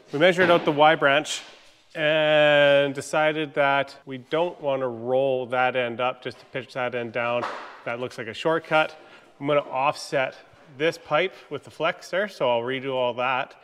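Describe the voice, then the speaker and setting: The man talks at a fairly slow pace with ordinary pitch variation. His loudness swings widely. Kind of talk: casual workshop tutorial. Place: garage. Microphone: phone near.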